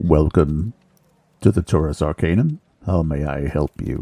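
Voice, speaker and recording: A man puts on a character voice with a very deep, low pitch, talking at a moderate pace. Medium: actual play. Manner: composed, dry.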